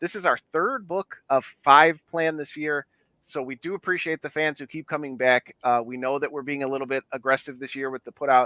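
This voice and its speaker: In an American accent, a man with an unremarkable speaking voice talks at a fairly quick pace and fairly high pitch, with fairly even intonation and hardly any pauses. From Chicago, US Midwest. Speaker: independent comic book publisher. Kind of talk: casual chat.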